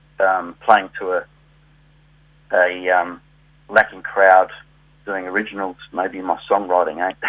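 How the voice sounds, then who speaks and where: A man with a slight South Australian accent, very deep and low in pitch, in monotone, flat intonation at a fairly slow pace with long, frequent pauses. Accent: slight South Australian twang. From South Australia, Adelaide. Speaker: tribute musician. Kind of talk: interview. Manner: halting, many fillers.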